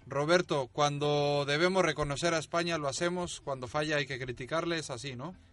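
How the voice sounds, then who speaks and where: A man with an unremarkable speaking voice and a fairly high pitch talks at a moderate pace, with hardly any pauses. His intonation is fairly even, and the background is quiet. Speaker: studio presenter. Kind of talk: radio show hosting, studio discussion. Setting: studio.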